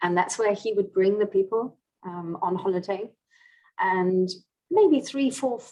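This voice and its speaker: A woman with a British accent speaks at a medium pitch in a dark, mellow tone, with ordinary pitch variation. She goes at a fairly slow pace and leaves long, frequent pauses. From England. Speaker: language coaching director. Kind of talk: interview.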